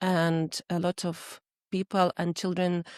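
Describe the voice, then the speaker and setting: A woman with a Russian accent and a fairly low pitch speaks at a very slow pace in a flat monotone. The sound is dry and close with no echo, on a very clean recording with a silent background. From Ukraine (Crimea, later western Ukraine). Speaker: Ukrainian refugee. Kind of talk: interview. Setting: garden shed studio. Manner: halting, many fillers.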